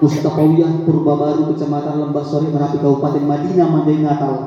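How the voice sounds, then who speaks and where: Over noticeable background noise and audible room echo, a man speaks at a fairly quick pace in an animated tone. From Aceh Tamiang, Indonesia. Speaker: preacher. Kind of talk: religious lecture to village audience.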